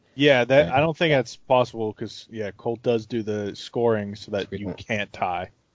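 In an ordinary speaking voice, a man talks at a moderate pace with big swings in loudness. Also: medium pitch for a man, ordinary pitch variation, hardly any pauses. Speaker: podcast co-host. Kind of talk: casual banter over beers, fantasy football talk.

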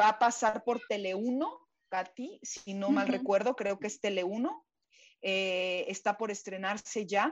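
In a plain, everyday voice, the pitch shifts in an ordinary way. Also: woman, medium pitch for a woman. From Mexico. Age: 40s. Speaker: voice actress. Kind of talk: interview.

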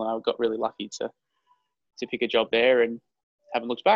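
Speaking at a very fast pace with an Australian accent, a man keeps a medium pitch and fairly even intonation in a dry, close sound with no echo. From Queensland, Australia. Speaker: advertising agency CEO. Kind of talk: interview.

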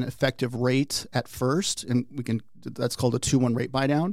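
In an ordinary speaking voice, a man talks at medium pitch and a moderate pace. His intonation is fairly even. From Arizona. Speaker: mortgage loan officer. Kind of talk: interview. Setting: studio.

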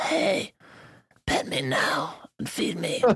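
Raspy and at a middle pitch, the voice is a put-on character voice. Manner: demanding, like a pet asking for attention.

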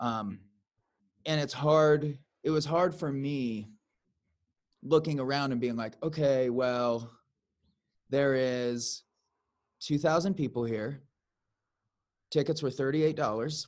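Recorded very cleanly against a silent background, a man with an American accent speaks at a very slow pace and fairly high pitch, with ordinary pitch variation and long, frequent pauses. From US Midwest. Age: 30s. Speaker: podcast host and musician. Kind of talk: casual chat.

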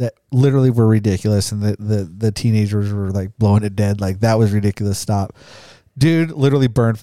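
A man speaks at a very fast pace in an American accent. His voice is fairly low, with a dark, mellow tone and ordinary pitch variation. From Idaho, Caldwell. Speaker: podcast co-host. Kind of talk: casual chat.

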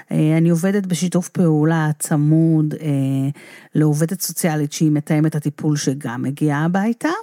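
A woman with a very deep, low pitch and a dark, mellow tone speaks at a fairly slow pace with fairly even intonation and very even loudness. The sound is dry and close with no echo, in a very clean recording with a silent background. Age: 50s. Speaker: rehabilitation counselor. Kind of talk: casual interview conversation.

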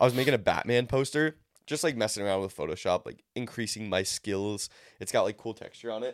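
On a very clean recording with a silent background, a man with a medium-pitched voice talks at a fairly quick pace with ordinary pitch variation. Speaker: podcast co-host. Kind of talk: casual chat. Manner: fast talker; excitable.

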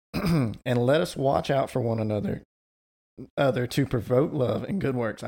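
A man puts on a raspy, strained character voice at a medium pitch, with ordinary pitch variation, a moderate pace and long, frequent pauses. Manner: choked, strained.

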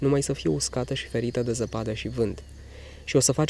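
Reading done in an unforced voice

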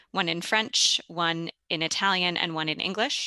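A woman with an American accent speaks fairly slowly at a medium pitch in a bright, sharp tone. The sound is dry and close with no echo, and the background is quiet. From US Midwest, St. Louis. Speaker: classical singer. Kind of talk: interview conversation.

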